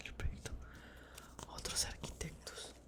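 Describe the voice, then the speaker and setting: The speaker is whispering at a moderate pace. Noticeable background noise is present. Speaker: ASMR creator. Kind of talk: book reading. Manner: whispered, soft.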